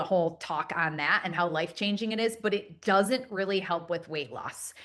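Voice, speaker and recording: The woman has a normal speaking voice with medium pitch. She talks at a moderate pace with ordinary pitch variation. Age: 40s. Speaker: panelist sharing personal health story. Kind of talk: panel presentation.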